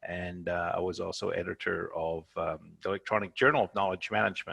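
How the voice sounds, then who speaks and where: With a Canadian accent, a man talks at a fairly quick pace in a dry, close sound with no echo. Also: quiet background. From Canada. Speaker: professor and journal editor. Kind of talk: webinar presentation. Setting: video call.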